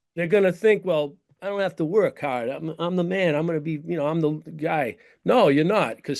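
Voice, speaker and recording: A man with a Boston accent and high pitch, at a fairly quick pace with ordinary pitch variation over a quiet background. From Boston's North Shore, Massachusetts. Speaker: actor and stuntman. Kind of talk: casual interview chat. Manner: repeats words, stammering starts.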